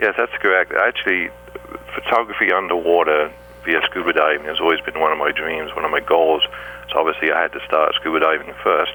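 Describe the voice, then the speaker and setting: Against noticeable background noise, a man with an English accent talks at a fairly quick pace. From England. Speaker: scuba diver and underwater photographer. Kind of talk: radio interview.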